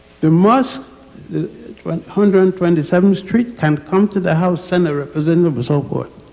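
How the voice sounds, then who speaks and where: Against noticeable background noise, a man speaks at a moderate pace. His pitch is high, with ordinary variation. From Virgin Islands / Puerto Rico. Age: 80s+. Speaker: elderly audience member, scholar. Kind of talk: impromptu address. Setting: church with audience. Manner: halting.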